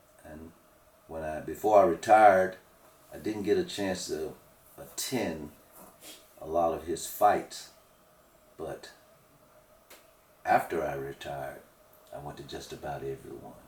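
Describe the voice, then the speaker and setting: Amid noticeable background noise, a man speaks at a fairly slow pace with long, frequent pauses and big swings in loudness. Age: 60s. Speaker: retired firefighter. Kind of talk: interview.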